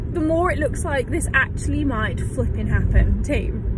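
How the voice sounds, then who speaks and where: Over music in the background, a woman speaks at a moderate pace in a dry sound with no echo. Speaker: vlogger. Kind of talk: casual vlog chat. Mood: chatty, excited, laughing. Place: car. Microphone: phone near.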